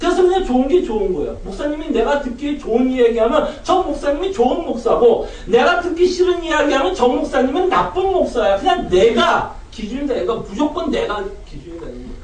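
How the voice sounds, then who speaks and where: Spoken at a fairly quick pace with hardly any pauses, the voice swings very widely in pitch and greatly in loudness, with audible room echo and noticeable background noise. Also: man, extremely high pitch for a man. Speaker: pastor. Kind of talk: sermon.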